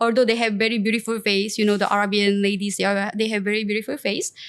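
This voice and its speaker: A woman speaks very fast in a Korean accent. Her voice is fairly high and flat, in a monotone. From South Korea, Seoul. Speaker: entrepreneur and influencer. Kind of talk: interview. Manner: halting.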